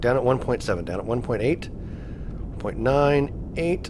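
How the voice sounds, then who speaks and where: Noticeable background noise sits under the recording. A man speaks over it at a medium pitch. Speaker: gaming video creator. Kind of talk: let's play gameplay commentary. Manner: animated.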